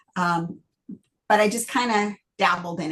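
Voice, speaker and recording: A woman with a Midwestern accent at a medium pitch, somewhat breathy, with ordinary pitch variation and a fairly slow pace. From Michigan, US Midwest. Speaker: novelist. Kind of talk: interview. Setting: video call.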